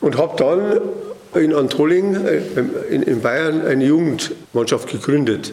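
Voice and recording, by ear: A slightly mellow tone at a fairly slow pace, ordinary pitch variation and audible room echo. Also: man, fairly high pitch for a man.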